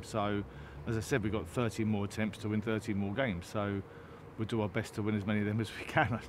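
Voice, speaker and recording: A man speaks at a very fast pace with a fairly low pitch. The sound is dry with no echo, though noticeable background noise is present. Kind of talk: interview answer. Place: stadium.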